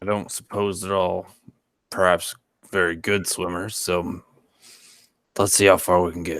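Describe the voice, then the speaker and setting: A raspy put-on character voice in a flat monotone, at a moderate pace with long, frequent pauses, on a very clean recording with a silent background. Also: man, very deep, low pitch for a man. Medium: actual play. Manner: dry, sardonic.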